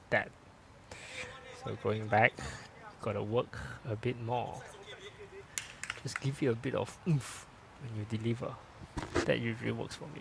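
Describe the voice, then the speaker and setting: Over noticeable background noise, a man speaks at a moderate pace and medium pitch with fairly even intonation and long, frequent pauses. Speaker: lawn bowls commentator and coach. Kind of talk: live sports commentary. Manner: speaking louder after feedback.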